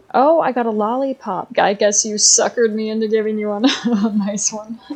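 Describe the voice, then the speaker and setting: A woman with an American accent speaks with fairly even intonation. Noticeable background noise can be heard behind her. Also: fairly high pitch for a woman, moderate pace. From United States. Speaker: gaming YouTuber. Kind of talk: casual gameplay commentary. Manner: hesitant, many fillers.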